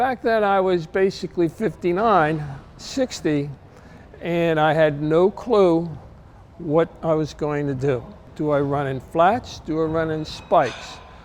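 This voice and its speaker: In a New Jersey accent, a man talks at a fairly slow pace with a fairly high pitch. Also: ordinary pitch variation. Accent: New Jersey American. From US Northeast, New Jersey. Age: 70s. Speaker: masters sprinter. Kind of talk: interview testimony. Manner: halting, many fillers.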